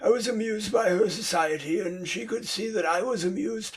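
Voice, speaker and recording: Putting on a raspy character voice, a man speaks high and at a fairly quick pace. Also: ordinary pitch variation. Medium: read story. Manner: haughty, condescending.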